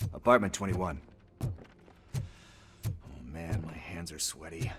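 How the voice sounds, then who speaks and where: A man puts on a raspy character voice with a very deep, low pitch, speaking at a moderate pace over clear background noise. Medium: video game. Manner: nervous, rambling, slangy.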